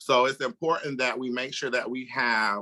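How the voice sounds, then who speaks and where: In a very clean recording with a silent background and a dry, close sound with no echo, a man with an American accent speaks at a moderate pace in a medium pitch, his bright, sharp tone carrying ordinary pitch variation. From Florida, US South. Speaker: nurse. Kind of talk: interview conversation.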